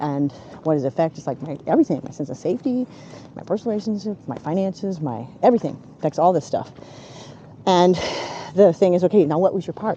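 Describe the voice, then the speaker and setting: Against noticeable background noise, a woman with a fairly low pitch talks at a very fast pace, with long, frequent pauses and big swings in loudness. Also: lively intonation. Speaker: recovering alcoholic sharing her story. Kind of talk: casual conversation while walking.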